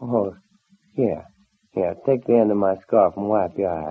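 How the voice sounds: A man's low-pitched, put-on character voice with vocal fry, a slightly husky edge, ordinary pitch variation and a fairly slow pace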